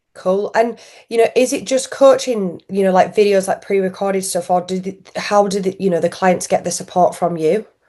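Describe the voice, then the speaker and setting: A woman with a strong Yorkshire accent, a dark, mellow tone, medium pitch, fairly even intonation, and a moderate pace. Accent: thick Yorkshire. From Yorkshire, northern England. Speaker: podcast host. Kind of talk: interview.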